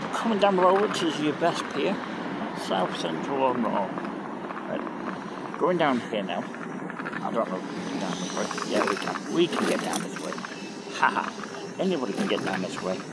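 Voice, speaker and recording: A man speaks with long, frequent pauses in a dry sound with no echo. Loud background noise runs behind him. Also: moderate pace. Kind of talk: casual ride-along commentary. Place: street.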